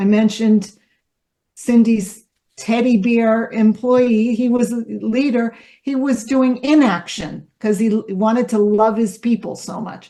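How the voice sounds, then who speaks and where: Somewhat breathy, with a dark, mellow tone, a woman speaks at a fairly slow pace. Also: fairly high pitch for a woman, fairly even intonation. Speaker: leadership development facilitator. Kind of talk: workshop presentation.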